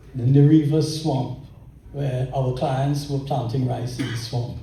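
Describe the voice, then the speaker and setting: Speaking at a fairly slow pace, a man with a medium pitch is heard with audible room echo. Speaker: lawyer. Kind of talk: tribute speech. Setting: luncheon event with audience.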